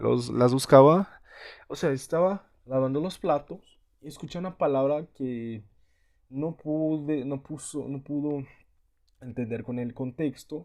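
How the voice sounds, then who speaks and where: A man speaks at a very slow pace with a Portuguese accent, on a very clean recording with a silent background. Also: fairly high pitch for a man, ordinary pitch variation. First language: Portuguese (speaking Spanish). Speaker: language learner vlogger. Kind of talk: casual vlog monologue. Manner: halting, many repetitions and fillers.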